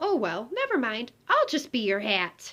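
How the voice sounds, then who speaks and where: A put-on character voice from a woman, high-pitched and at a moderate pace. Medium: read story. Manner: smooth, sly.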